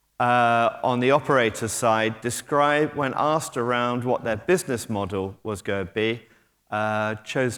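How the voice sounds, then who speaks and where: A man speaks at a moderate pace with a British accent. The recording is very clean, with a silent background. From Britain. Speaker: technology company executive. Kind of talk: conference talk. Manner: hesitant, filler-heavy.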